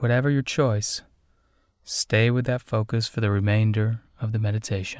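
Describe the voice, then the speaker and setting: An ordinary speaking voice from a man, medium in pitch, at a moderate pace with fairly even intonation, dry and close with no echo, in a very clean recording with a silent background. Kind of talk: guided meditation. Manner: gentle, measured, with long pauses.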